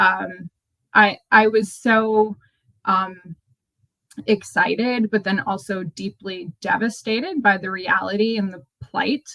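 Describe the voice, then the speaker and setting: Dry and close with no echo, the recording holds a woman with an American accent. She speaks at a very slow pace, medium pitch, and ordinary pitch variation. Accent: sounds very American. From Australia, moved to US young. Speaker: nonprofit manager. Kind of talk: interview. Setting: remote call. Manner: halting, many fillers.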